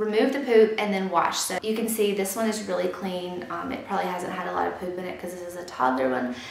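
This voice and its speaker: Lively in intonation, a woman speaks at a very fast pace. Audible room echo surrounds her voice. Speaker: YouTuber, mother. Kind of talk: product review tutorial. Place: home room.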